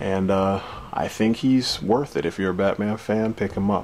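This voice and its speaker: Soft-spoken, a man talks at a fairly low pitch. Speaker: action figure reviewer. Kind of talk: product review. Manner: soft-spoken, speaking low.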